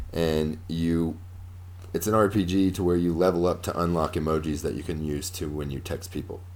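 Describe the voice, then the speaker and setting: Moderate pace and fairly even intonation. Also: man. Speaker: gaming podcast co-host. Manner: casual, joking.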